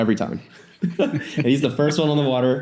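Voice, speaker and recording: Speaking at a very fast pace with a Californian accent, a man has a dark, mellow tone. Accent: Californian American English. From US West Coast, San Francisco Bay Area. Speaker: windsurfer and wing foiler. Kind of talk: casual chat.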